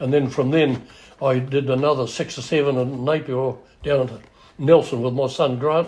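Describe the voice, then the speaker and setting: This man speaks at a moderate pace with a New Zealand accent, a medium pitch and a monotone, flat intonation. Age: 80s+. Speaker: house moving pioneer. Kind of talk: interview storytelling.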